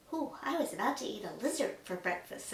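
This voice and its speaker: A put-on character voice, high-pitched, with very wide pitch swings and a fairly quick pace. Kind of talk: bedtime story. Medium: read story.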